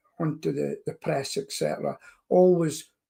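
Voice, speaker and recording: Somewhat breathy, with a dark, mellow tone and a fairly high pitch, a man talks at a moderate pace. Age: 60s. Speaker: pest control business owner. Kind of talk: podcast interview.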